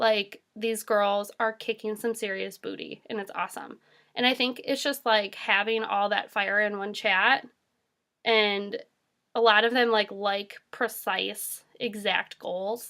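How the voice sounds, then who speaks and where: A fairly high-pitched woman's voice, bright and sharp in tone, fairly slow and monotone with flat intonation, on a very clean recording with a silent background. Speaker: direct sales team leader. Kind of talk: casual video monologue.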